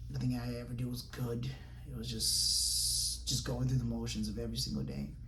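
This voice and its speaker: A man with a very deep, low pitch talks at a fairly quick pace in a monotone, flat delivery, with audible room echo and noticeable background noise. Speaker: podcast host. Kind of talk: solo podcast monologue. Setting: home recording in front of camera. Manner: halting, repeats words; casual.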